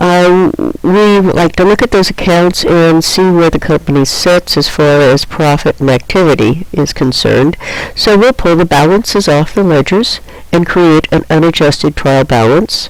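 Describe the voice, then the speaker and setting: Over noticeable background noise, the voice holds a very even loudness, moving at a moderate pace with ordinary pitch variation. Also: woman, fairly low pitch for a woman. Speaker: accounting teacher. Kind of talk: lecture. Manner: hesitant with fillers.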